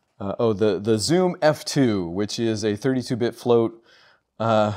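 A man speaks at a fairly slow pace. His pitch varies in an ordinary way against a quiet background. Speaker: gear reviewer. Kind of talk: casual unboxing commentary.

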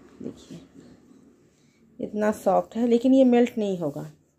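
A dark, mellow tone with vocal fry, a slightly husky edge, lively intonation and a fairly slow pace. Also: woman, medium pitch for a woman.

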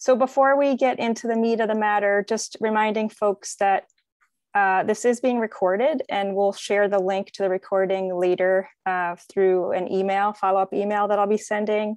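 Against a quiet background, a woman speaks at a moderate pace with fairly even intonation and very even loudness, the sound dry with no echo. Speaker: event organizer hosting a webinar. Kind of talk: webinar host introduction. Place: home room. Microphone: video call.

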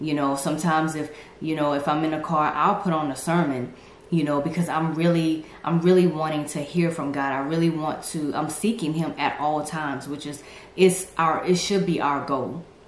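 A woman with a very deep, low pitch speaks at a moderate pace with fairly even intonation, with audible room echo and light background noise. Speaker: faith vlogger. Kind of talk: casual vlog chat. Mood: earnest, encouraging. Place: home room.

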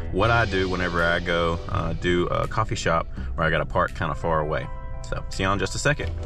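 A man talks very fast in a very deep, low pitch with ordinary pitch variation and very even loudness. The sound is dry with no echo, and clear music plays in the background. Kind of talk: casual vlog chat. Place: car. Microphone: phone near.

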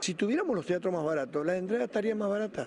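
A man with a high pitch, over light background noise. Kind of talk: interview answer. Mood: complaining, earnest.

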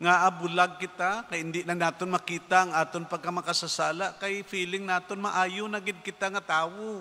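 A man uses a raised, projected voice with a high pitch. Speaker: priest giving homily. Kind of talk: sermon. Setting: church. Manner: earnest, preachy, conversational; animated, mimicking skeptics' voices. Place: church. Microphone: podium.

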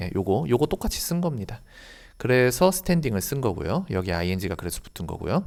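On a very clean recording with a silent background, a man at a medium pitch moves at a moderate pace with very wide pitch swings. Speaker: English teacher. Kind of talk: lecture.

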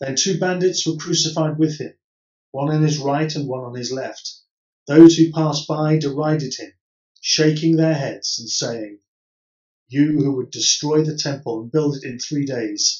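Over a quiet background with audible room echo, a man speaks fairly slowly in a fairly high, somewhat breathy voice. His intonation stays fairly even. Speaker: Church of England priest. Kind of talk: solemn Gospel reading. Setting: pre-recorded virtual service. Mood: solemn, measured. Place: home room. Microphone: camera far.

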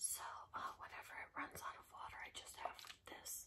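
Whispering is what this woman does. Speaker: ASMR creator. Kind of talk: ASMR casual talk. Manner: whispered. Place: home room.

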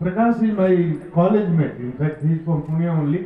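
There is audible room echo and crowd noise in the background. A man talks at a high pitch with ordinary pitch variation. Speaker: guest. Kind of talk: motivational speech. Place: stage. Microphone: pa.

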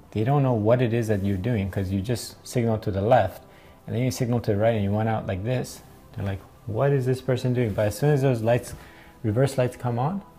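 A man talks at a fairly quick pace with fairly even intonation. Music plays faintly behind him. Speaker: driving instructor. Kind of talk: tutorial. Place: home room.

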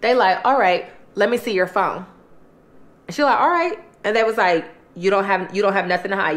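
A woman talks at a fairly quick pace. Her pitch swings are very wide. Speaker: mukbang storyteller. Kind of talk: casual vlog storytelling. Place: home room.

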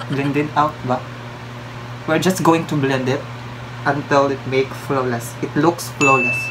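The speech moves at a fairly slow pace against loud background noise. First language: Filipino language. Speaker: beauty vlogger. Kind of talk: casual makeup tutorial to camera. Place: home room. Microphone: phone near.

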